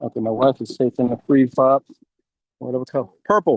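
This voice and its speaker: The man's voice has a dry, close sound with no echo. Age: 60s. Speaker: guest storyteller. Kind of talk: casual talk on a live video call. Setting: outdoors in backyard, video call. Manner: fast.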